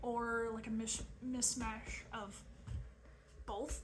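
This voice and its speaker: A woman with a Southern accent, amid noticeable background noise and audible room echo. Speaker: crafting video creator. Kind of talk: casual vlog chat. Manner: frequent fillers (um, uh).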